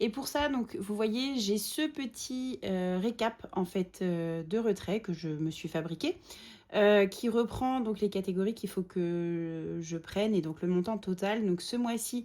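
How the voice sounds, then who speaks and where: At a very slow pace, a woman speaks with lively intonation. Her tone is dark and mellow. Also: medium pitch for a woman. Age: 30s. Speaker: budgeting vlogger. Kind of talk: casual tutorial vlog. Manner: hesitant, many fillers.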